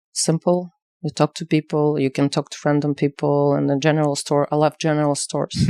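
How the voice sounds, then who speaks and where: A woman's very deep, low pitch and dark, mellow tone with a Ukrainian accent, monotone, flat intonation, and a fairly quick pace, in a very clean recording with a silent background and a dry, close sound with no echo. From Ukraine, village. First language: Ukrainian or Russian. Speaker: activist and exhibition curator. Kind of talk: interview. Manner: halting, many fillers.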